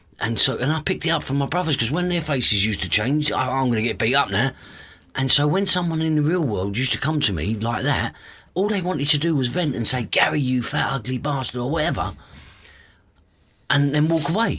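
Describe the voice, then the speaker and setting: Fairly quick and lively in intonation, a man speaks at a fairly high pitch with a bright, sharp tone. His loudness stays very even, with vocal fry throughout. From East London, England. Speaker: author and youth mentor. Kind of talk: podcast interview.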